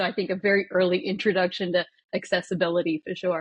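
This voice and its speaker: Speaking with an American accent, a woman sounds somewhat breathy at a medium pitch. She moves at a fairly quick pace with fairly even intonation. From Australia (country Australia). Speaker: business executive and hunter. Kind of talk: podcast interview. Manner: repetitive false starts.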